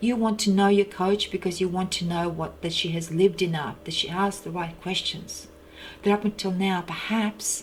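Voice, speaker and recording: At a moderate pace, a woman of medium pitch speaks with music in the background. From China, Russian community near Mongolian border. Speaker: personal development coach. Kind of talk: personal monologue.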